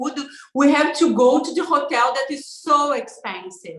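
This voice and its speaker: A woman with a Brazilian accent speaks at a high pitch, with audible room echo. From Brazil, southern barbecue state. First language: Portuguese. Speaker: social media influencer. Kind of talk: interview. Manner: halting, many fillers.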